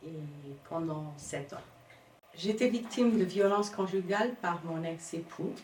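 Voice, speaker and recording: Audible room echo surrounds a woman as she talks. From Cape Verde. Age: 50s. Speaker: domestic violence survivor. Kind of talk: testimony. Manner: halting.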